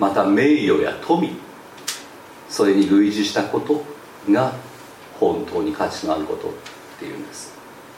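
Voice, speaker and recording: With big swings in loudness and long, frequent pauses, a man speaks amid audible room echo. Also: moderate pace. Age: 60s. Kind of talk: sermon.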